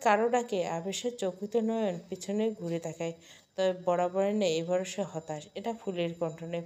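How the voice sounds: In a natural reading voice, the speaker reads with ordinary pitch variation.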